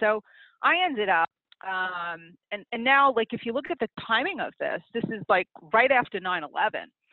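A fairly high-pitched woman's voice with an American accent, very wide pitch swings and a moderate pace. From US, New York (Queens). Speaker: accountant and business consultant. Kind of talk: interview. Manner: animated.

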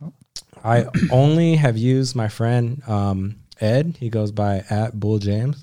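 In a Californian accent, a man at medium pitch speaks at a fairly slow pace with ordinary pitch variation. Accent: California. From Southern California (Whittier). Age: 20s. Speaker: automotive photographer. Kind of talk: casual chat.

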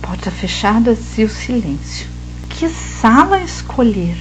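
Audible room echo trails a woman's speech. Noticeable background noise is there too. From São Paulo interior, Vale do Paraíba. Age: 40s. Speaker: art teacher and storyteller. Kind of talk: storytelling.

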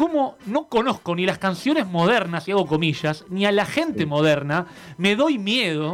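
With music in the background, a man speaks at a moderate pace in a high pitch, his pitch swinging very widely. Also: very even loudness. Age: 30s. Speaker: radio music columnist. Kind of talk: casual chat.

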